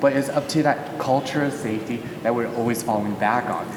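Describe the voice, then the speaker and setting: A man with a Californian accent speaks at a fairly quick pace in a medium pitch with fairly even intonation. There is audible room echo and noticeable background noise. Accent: Californian American. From Southern California, Los Angeles. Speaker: panelist, business leader. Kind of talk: live panel discussion.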